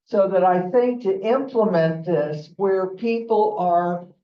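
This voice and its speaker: Heard with audible room echo, a woman with an American accent and a medium pitch speaks at a very slow pace. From Cincinnati, Ohio. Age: 70s. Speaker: audience member. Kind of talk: audience comment.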